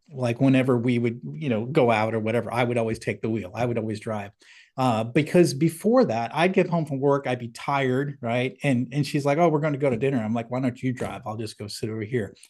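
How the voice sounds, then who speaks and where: Heard over a quiet background, a man has an ordinary speaking voice. His medium pitch shows ordinary variation, and his pace is fairly quick. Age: 50s. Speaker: company CEO and leadership author, navy veteran. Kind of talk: casual interview.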